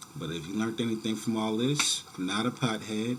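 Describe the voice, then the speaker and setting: A man with an American accent speaks in a relaxed tone at a moderate pace. Noticeable background noise runs under his voice. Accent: New York, people down south recognize it. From New York City, the Bronx. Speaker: YouTuber. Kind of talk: casual vlog talk to camera. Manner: casual, relaxed with many fillers.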